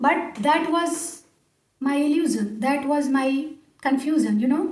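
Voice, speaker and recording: Audible room echo surrounds a woman speaking with an Indian accent at a high pitch. Her pace is fairly slow and her intonation fairly even. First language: Hindi. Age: 40s. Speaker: English speaking coach. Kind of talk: motivational talk to camera. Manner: hesitant with fillers.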